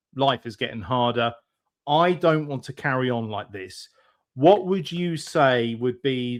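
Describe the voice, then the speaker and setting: A man with a British accent, medium pitch, ordinary pitch variation and a fairly slow pace. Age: 40s. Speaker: podcast host. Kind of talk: interview.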